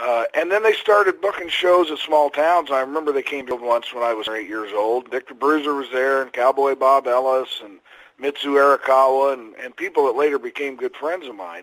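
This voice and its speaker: A man with a fairly high pitch and ordinary pitch variation speaks at a fairly quick pace with hardly any pauses and big swings in loudness. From Indiana, US Midwest. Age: 60s. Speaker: retired pro wrestler. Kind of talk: interview.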